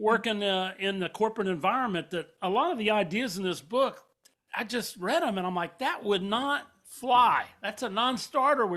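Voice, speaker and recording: A man with a high, bright, sharp voice projects it loudly, speaking at a moderate pace with ordinary pitch variation. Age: 60s. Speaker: podcast host. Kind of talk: casual interview. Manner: halting.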